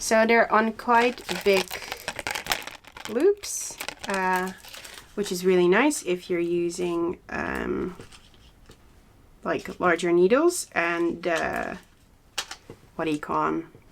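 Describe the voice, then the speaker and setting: With a Dutch accent, a woman speaks at a very slow pace. Her speech has long, frequent pauses. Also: medium pitch for a woman, ordinary pitch variation. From Netherlands, Zaanstreek near Amsterdam. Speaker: knitting podcaster. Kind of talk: casual chat. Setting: home studio. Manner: halting, with frequent fillers.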